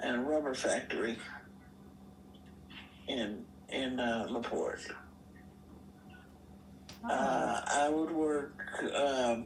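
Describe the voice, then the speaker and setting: A woman speaks at a very slow pace, leaving long, frequent pauses. Noticeable background noise runs beneath her. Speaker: retired army veteran and veterans hospital worker. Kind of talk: personal life story interview answer. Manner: casual, conversational.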